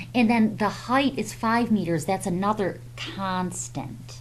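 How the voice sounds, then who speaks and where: Speaking at a very slow pace, a woman's voice carries vocal fry. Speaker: math teacher. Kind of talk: tutorial. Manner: hesitant, many fillers.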